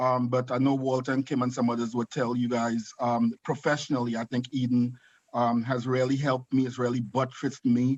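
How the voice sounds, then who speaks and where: This man speaks with a Trinidadian accent. His pace is fairly quick and his intonation monotone and flat. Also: medium pitch for a man, dry, close sound with no echo. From Trinidad and Tobago. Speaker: nursing home executive and author. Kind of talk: video call talk.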